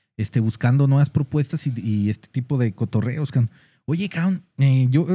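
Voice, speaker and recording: Dry and close with no echo, a man's somewhat breathy voice has a dark, mellow tone, medium pitch and ordinary pitch variation. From Guadalajara, Mexico. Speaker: online radio show host. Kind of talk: casual interview chat. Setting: studio, streamed live on Facebook.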